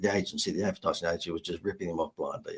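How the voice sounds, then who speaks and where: The speaker is a man with an Australian accent. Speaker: marketing consultant. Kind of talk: podcast interview, storytelling.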